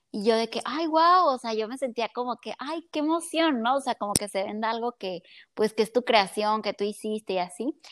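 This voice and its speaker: With a Mexican accent, a woman talks at a moderate pace with lively intonation, recorded very cleanly against a silent background in a dry, close sound with no echo. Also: fairly high pitch for a woman. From Mexico (Colima). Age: 20s. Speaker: psychologist and entrepreneur. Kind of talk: casual chat.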